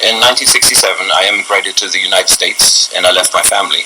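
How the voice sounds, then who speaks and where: Speech comes at a very fast pace. Noticeable background noise is present. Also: man. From Germany. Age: 70s. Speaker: speaker on family history. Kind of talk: testimony. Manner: halting.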